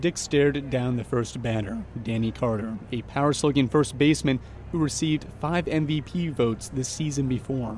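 A plain, everyday voice, its speed middling and its pitch rising and falling in a normal way. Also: man, medium pitch for a man. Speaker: podcast reporter and host. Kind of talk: scripted narration.

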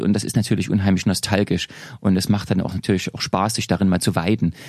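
Amid noticeable background noise, a man with a fairly low pitch talks at a very fast pace. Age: 40s. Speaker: author and historian. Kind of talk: casual interview. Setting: studio.

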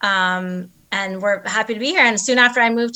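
A woman's medium-pitched voice with an American accent, bright, sharp tone, fairly even intonation and fairly quick pace, on a very clean recording with a silent background. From New Jersey. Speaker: small business co-founder. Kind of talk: casual interview.

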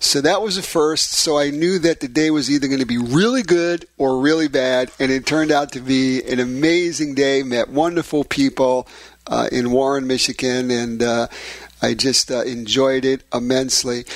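Fairly even in intonation, a plain, everyday voice talks at moderate speed. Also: man, medium pitch for a man. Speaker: radio health and fitness show host. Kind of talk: radio talk show interview.

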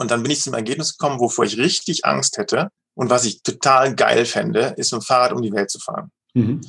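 A man talks with a plain, everyday voice at a medium pitch. His pace is fairly quick and his intonation lively. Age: 50s. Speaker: leadership coach and managing director. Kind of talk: interview.

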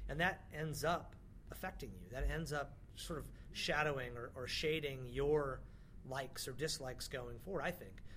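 Amid audible room echo, a man with vocal fry and a fairly high pitch speaks at a moderate pace with fairly even intonation. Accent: American. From northern California (small town near Mount Shasta). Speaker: music industry executive. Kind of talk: interview. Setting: basement studio at a music conference.

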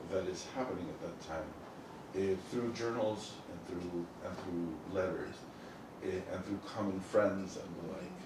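Over noticeable background noise, a man with a very deep, low pitch and a Spanish accent speaks at a fairly slow pace with fairly even intonation. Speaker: professor of anthropology. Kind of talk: talk at a book event. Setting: stage with audience. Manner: halting.

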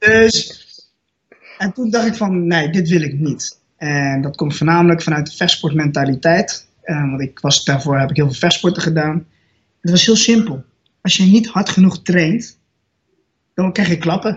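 A man's high-pitched voice at a fairly slow pace. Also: ordinary pitch variation. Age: 20s. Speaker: natural bodybuilder and student. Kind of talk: podcast interview.

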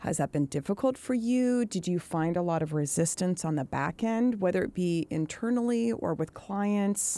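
A woman's medium-pitched voice with a dark, mellow tone, lively intonation, very even loudness and a moderate pace, hardly any pauses, on a very clean recording with a silent background. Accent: American. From Pacific Northwest US. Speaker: podcast host. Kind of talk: casual interview chat. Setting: studio.

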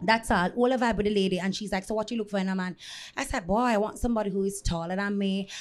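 A woman at medium pitch, very fast pace and fairly even intonation. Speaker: restaurant owner and dancehall personality. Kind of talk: casual chat.

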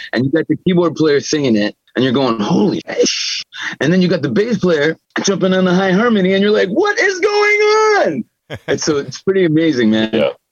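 The speech comes at a fairly quick pace with very even loudness, in dry, close sound with no echo. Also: man. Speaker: guitarist. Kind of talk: casual interview chat.

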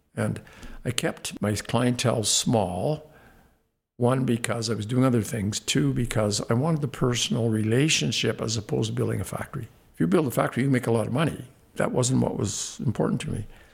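At a fairly quick pace, a man with a Canadian accent speaks at a medium pitch with vocal fry and ordinary pitch variation. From Canada, Saskatoon, Saskatchewan. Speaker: former athlete and businessman. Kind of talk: interview.

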